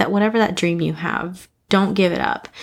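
A woman speaks in an ordinary speaking voice at medium pitch with ordinary pitch variation. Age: 30s. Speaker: podcast host, school teacher and seminary student. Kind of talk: Bible study podcast monologue. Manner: casual, with frequent fillers and laughs.

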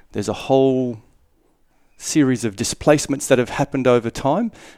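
A man's dark, mellow tone carries fairly even intonation. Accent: Australian. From Darwin, Northern Territory, Australia. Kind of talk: casual interview.

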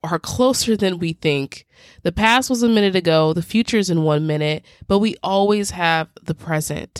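A woman with a plain, everyday voice speaks at a fairly low pitch and a fairly slow pace. Her intonation is lively, and the sound is dry and close with no echo. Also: very clean recording, silent background. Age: 20s. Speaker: podcast host. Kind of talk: solo advice monologue. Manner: casual, conversational.

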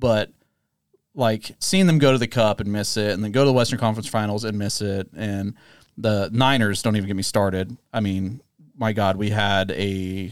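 This man has a normal speaking voice with a fairly low pitch and an American accent, captured in a very clean recording with a silent background. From Bay Area, California. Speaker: sports podcast host. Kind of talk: casual chat.

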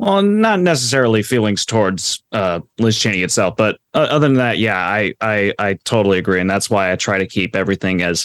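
An unremarkable speaking voice at a fairly quick pace. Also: man. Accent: American. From Florida, US. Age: 20s. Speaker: author and political science graduate. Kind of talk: interview discussion on politics. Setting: remote call.

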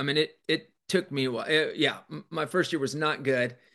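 A man talks at a moderate pace with an American accent. His pitch varies in an ordinary way. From Kansas. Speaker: leadership coach and former college baseball coach. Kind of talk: interview. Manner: halting, with frequent repetitions.

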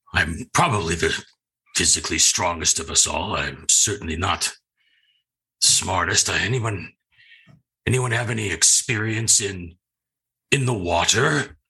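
Speaking at a fairly slow pace with long, frequent pauses, the put-on character voice comes out raspy. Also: man, fairly low pitch for a man. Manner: straightforward, modest.

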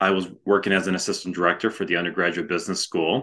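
This man's voice sits at a very deep, low pitch. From Chicago suburbs, Illinois. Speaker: former home care franchise owner. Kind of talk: interview.

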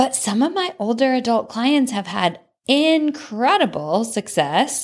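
A woman speaks in an upbeat tone with vocal fry. The recording is very clean, with a silent background. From Texas, from age ten, after early childhood in Connecticut. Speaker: wellness coach and podcast host. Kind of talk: solo podcast monologue.

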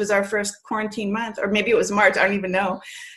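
Her voice is somewhat breathy and fairly high in pitch. The woman talks at a fairly quick pace. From Canada, then Massachusetts from age 10. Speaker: PR agency owner and poet. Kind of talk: casual interview.

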